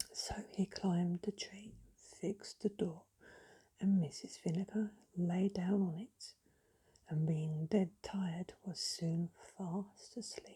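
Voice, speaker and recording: A woman speaks at a very slow pace in a somewhat breathy, medium-pitched voice with a dark, mellow tone and fairly even intonation. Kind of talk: sleep story. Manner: whispered, soft-spoken.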